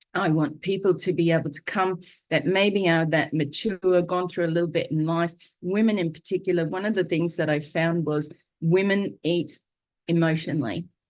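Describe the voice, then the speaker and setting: At a moderate pace, a woman with an Australian accent speaks over a quiet background. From Queensland, Australia. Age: 60s. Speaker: vlogger sharing diet journey. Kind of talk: live video monologue. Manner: hesitant, many fillers.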